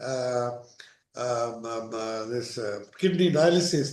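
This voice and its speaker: A man at a very slow pace, lively in intonation, with audible room echo. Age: 60s. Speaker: session participant. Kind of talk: personal testimony.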